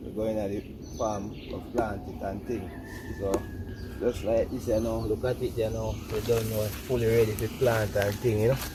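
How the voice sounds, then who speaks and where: Over noticeable background noise and audible room echo, a man with a fairly low pitch speaks at a moderate pace in a monotone, flat delivery. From Jamaica, St. Elizabeth. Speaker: tobacco farmer. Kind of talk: casual demonstration talk.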